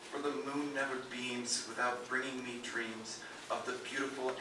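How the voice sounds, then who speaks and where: A man's monotone, flat delivery at a fairly slow pace, with audible room echo and noticeable background noise. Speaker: performer. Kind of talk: dramatic poetry reading. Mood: mournful, dramatic. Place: stage.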